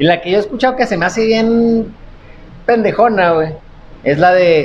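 A man talks at a moderate pace in an animated tone, with ordinary pitch variation. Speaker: comedy podcast co-host. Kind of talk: casual chat.

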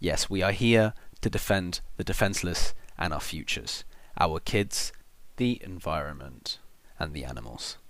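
A man's very deep, low voice with vocal fry and lively intonation at a moderate pace, on a very clean recording with a silent background. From Spain. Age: 20s. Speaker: student activist. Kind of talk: self-recorded testimony.

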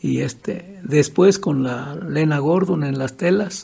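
A man's fairly high voice at a very slow pace. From Michoacán, Mexico (Purépecha region). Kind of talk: interview. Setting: at his home.

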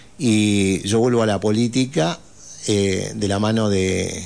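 A man uses a normal speaking voice, fairly low in pitch with ordinary pitch variation, at a fairly slow pace. The background is quiet. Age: 60s. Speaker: provincial legislator. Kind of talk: radio interview. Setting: radio studio.

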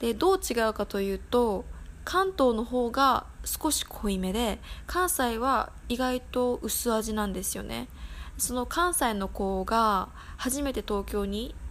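Lively intonation at a very slow pace, with a relaxed tone. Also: woman, fairly high pitch for a woman. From Tokyo, Japan. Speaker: podcast host. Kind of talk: casual solo podcast talk. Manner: relaxed, many fillers.

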